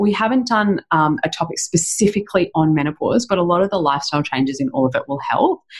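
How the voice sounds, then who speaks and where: A woman's somewhat breathy, medium-pitched voice with an Australian accent, very fast and with very wide pitch swings. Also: hardly any pauses. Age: 40s. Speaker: chiropractor and women's health specialist. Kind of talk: interview.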